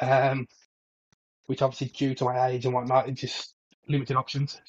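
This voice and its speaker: A man with a medium pitch and a somewhat breathy voice speaks at a fairly quick pace. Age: 30s. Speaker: football podcast co-host. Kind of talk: casual chat.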